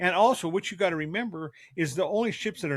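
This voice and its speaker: In an ordinary speaking voice with lively intonation, a man talks at a moderate pace on a very clean recording with a silent background. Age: 60s. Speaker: father co-host of a family podcast. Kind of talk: casual family discussion podcast.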